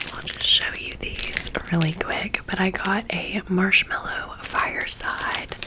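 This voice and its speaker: Whispering at a fairly slow pace, a woman is heard against noticeable background noise. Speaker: ASMR creator. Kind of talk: casual haul talk to camera, ASMR. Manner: friendly, chatty.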